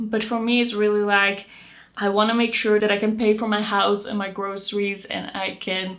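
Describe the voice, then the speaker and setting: With a Dutch accent, a woman speaks at a moderate pace and medium pitch, with audible echo from the room. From Netherlands. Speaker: beauty youtuber. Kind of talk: casual chat.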